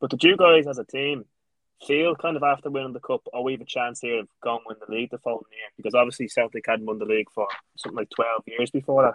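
The man's voice sits at a medium pitch and varies in an ordinary way. He speaks very fast. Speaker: podcast co-host. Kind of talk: interview.

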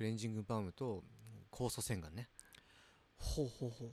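The man's pitch is medium. A dark, mellow tone colors his speech. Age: 30s. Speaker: podcast co-host. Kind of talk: casual chat.

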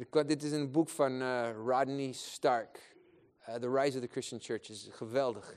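A fairly slow man's voice at medium pitch, with big swings in loudness. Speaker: preacher. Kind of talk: sermon with prayer, passionate preaching to a congregation. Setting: church gathering with audience. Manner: animated, fervent, exhortative.

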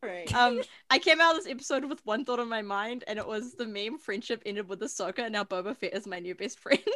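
A woman's very fast, lively speech, fairly high in pitch, with a bright, sharp tone and a non-native accent. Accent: non-American accent, self-described. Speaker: podcast co-host. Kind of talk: casual chat.

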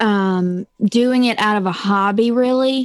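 Speaking very slowly, a woman with a Southern US accent uses a fairly high pitch and ordinary pitch variation. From Mississippi. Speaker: true crime podcaster. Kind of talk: casual interview chat. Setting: video call. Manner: talkative.

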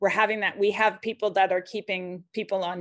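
A woman speaks at a medium pitch with vocal fry. The background is quiet. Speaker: technology policy consultant. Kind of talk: casual interview chat.

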